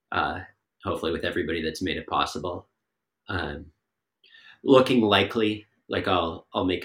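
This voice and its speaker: A man's bright, sharp tone with an American accent in a very clean recording with a silent background. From Massachusetts. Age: 20s. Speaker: ski coach and athlete. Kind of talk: casual interview.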